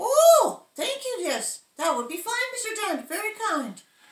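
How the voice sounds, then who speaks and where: A woman puts on a squeaky character voice at an extremely high pitch, with very wide pitch swings. She speaks at a fairly slow pace, with a slight echo. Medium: stage play. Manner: hesitant, stammering.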